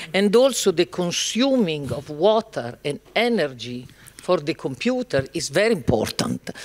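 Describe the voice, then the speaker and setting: A man with an Italian accent speaks at a high pitch and a fairly slow pace. His pitch swings very widely, and the sound is dry and close with no echo. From Italy. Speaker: panel moderator. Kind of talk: panel discussion.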